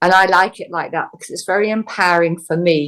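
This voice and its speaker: Fairly quick in pace, an unremarkable speaking voice carries fairly even intonation. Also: woman. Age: 60s. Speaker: healer. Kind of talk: interview.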